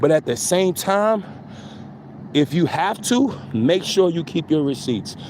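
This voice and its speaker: Over noticeable background noise, a man with an American accent talks in an animated tone at a fairly slow pace. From New York City, the Bronx. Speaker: spiritual content creator. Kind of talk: casual spiritual monologue.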